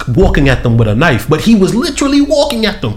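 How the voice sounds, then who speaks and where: Against noticeable background noise and audible room echo, a man speaks at a fairly quick pace with very wide pitch swings. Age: 30s. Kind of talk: casual chat.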